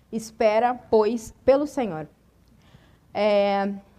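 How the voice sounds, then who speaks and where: Very clean recording, silent background, with a woman speaking. Her voice is fairly high, with ordinary pitch variation. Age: 30s. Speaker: preacher. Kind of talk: sermon.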